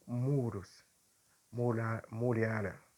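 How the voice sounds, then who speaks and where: With a non-native accent, a man speaks at a very slow pace and a medium pitch. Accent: foreign accent in Portuguese, non-native. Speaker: preacher. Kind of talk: sermon. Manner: halting, with frequent fillers.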